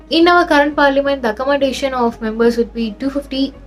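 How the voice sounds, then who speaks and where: Music plays behind a woman who speaks at a very fast pace. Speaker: educational YouTuber. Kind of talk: explainer video. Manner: casual, conversational with frequent fillers.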